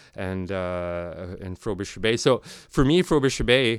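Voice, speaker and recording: A man is talking at a moderate speed. The background is silent and the recording very clean. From Nunavut, Canadian Arctic. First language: Inuktitut. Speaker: sound and video artist. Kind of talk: recorded interview, conversational. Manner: halting, many fillers and repeats.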